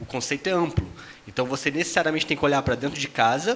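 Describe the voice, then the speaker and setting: A man with a slight Rio de Janeiro accent, a fairly high pitch, and ordinary pitch variation. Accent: faint carioca. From Brazil, Rio de Janeiro. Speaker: tech company executive, panelist. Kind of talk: panel discussion.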